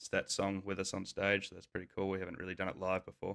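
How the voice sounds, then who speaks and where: With an Australian accent, a man speaks in a fairly low voice with a bright, sharp tone. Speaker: rock band guitarist. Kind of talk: casual interview chat.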